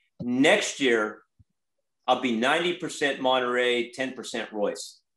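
In an American accent, the voice has a bright, sharp tone with audible room echo over a quiet background. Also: man. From California (Watsonville area); California. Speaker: strawberry farmer and farm manager; guest. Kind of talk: guest lecture. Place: home room. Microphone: video call.

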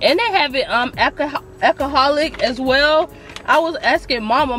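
Faint background music accompanies the recording. The woman's delivery moves at a moderate speed. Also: dry sound with no echo. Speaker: food vlogger. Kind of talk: casual vlog chat, restaurant review. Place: car. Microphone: phone near.

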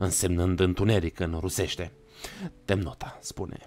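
A man's dramatic tone at a moderate pace. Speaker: streamer reading horror stories. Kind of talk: live horror story narration to chat. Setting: live stream with chat. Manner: dramatic, gripping, vivid narration; casual, chatty, warm with viewers. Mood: dark, dramatic narration. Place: home room. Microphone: studio mic.

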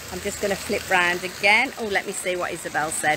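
Against noticeable background noise, a woman with a British accent speaks in a dry sound with no echo. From Britain. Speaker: mobile home sales vlogger. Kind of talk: live stream walking tour. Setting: outdoors. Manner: casual, chatty. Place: street. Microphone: phone near.

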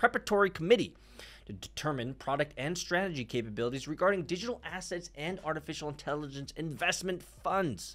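The man's pitch swings very widely as he speaks. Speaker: crypto news commentator. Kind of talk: casual news commentary vlog. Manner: animated, jokey. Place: studio. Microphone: studio mic.

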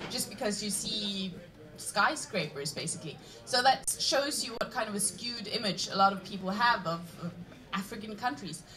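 Noticeable background noise behind a woman speaking at a moderate pace with ordinary pitch variation. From Norway. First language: Norwegian. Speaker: student aid organization leader; panel debater. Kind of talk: panel debate. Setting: stage with audience. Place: stage.

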